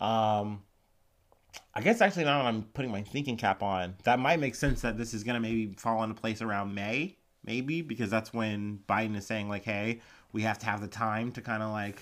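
At a moderate pace with fairly even intonation, this voice comes through in a very clean recording with a silent background. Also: man. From Ohio. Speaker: news podcast host. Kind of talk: casual news commentary. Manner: casual, many fillers.

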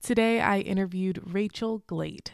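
With an unremarkable speaking voice, a woman talks fairly slowly at a medium pitch with ordinary pitch variation, in a dry, close sound with no echo. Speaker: podcast host, engineering student. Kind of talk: casual interview; scripted intro. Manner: upbeat.

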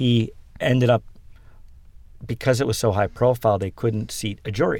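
An unremarkable speaking voice moves along at a moderate pace. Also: man, medium pitch for a man. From western Pennsylvania. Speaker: tech company founder and CEO. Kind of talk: interview.

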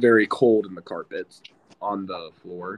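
Speaking at a moderate pace, a man has a fairly low pitch and an unremarkable speaking voice. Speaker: college football player and podcast co-host. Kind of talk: casual chat.

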